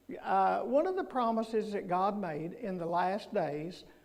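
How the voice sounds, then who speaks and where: A man with a high pitch and ordinary pitch variation speaks at a fairly slow pace, with audible room echo. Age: 70s. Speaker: guest preacher. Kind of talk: sermon. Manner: halting.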